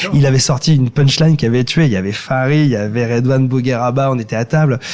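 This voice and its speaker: Noticeable background noise accompanies a man talking at a very fast pace in a medium pitch with fairly even intonation. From France, Ile-de-France. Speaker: singer-songwriter and comedian. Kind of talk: podcast interview. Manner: halting, many repetitions.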